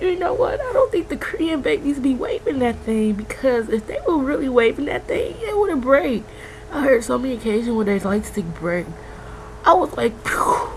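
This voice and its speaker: The tone is animated and the pace moderate. Noticeable background noise runs underneath. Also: woman. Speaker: K-pop fan vlogger. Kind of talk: casual vlog.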